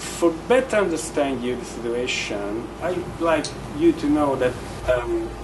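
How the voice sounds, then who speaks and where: Amid noticeable background noise and audible room echo, a man with a strong Italian accent talks at a fairly slow pace and a fairly high pitch with lively intonation. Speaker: real estate agent. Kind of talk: conference speech. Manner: halting, many fillers.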